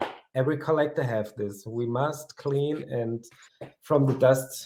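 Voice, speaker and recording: A man's somewhat breathy voice, medium in pitch, with a dark, mellow tone, fairly even intonation and a fairly slow pace. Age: 30s. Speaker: collector. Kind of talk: interview. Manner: halting.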